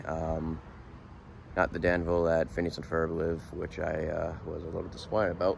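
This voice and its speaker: In a Boston accent, a man with a very deep, low pitch talks at a fairly quick pace in a relaxed tone with monotone, flat intonation. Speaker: vlogger, monster truck crew member. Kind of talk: casual vlog talk to camera. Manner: casual, relaxed.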